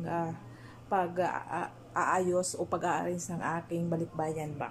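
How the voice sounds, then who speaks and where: Somewhat breathy and fairly low in pitch, a woman speaks at a fairly slow pace over light background noise. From Philippines. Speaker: vlogger, overseas Filipino worker; overseas worker vlogger. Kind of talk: casual vlog; casual vlog chat. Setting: small bedroom.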